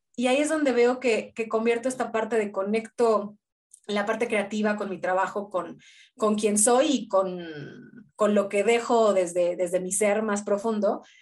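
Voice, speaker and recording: Over a quiet background, a woman with an unremarkable speaking voice talks at a fairly slow pace with a fairly high pitch. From Mexico City. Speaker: filmmaker and teacher. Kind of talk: casual chat.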